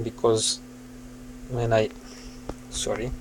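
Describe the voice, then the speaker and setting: A man goes at a very slow pace, with light background noise behind him. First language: Serbian. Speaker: hobbyist asking for repair help. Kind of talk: casual tutorial-style vlog. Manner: halting, with many fillers. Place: home room. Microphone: phone near.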